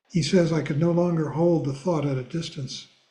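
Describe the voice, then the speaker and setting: A somewhat breathy man's voice with a dark, mellow tone, fairly even intonation and a moderate pace. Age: 80s+. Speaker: Buddhist teacher. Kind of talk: reading aloud; class discussion.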